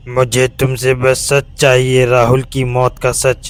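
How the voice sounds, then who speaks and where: Putting on a character voice, a man projects at a medium pitch in a flat monotone, speaking at a fairly slow pace over music in the background. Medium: read story. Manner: slow, cold, menacing.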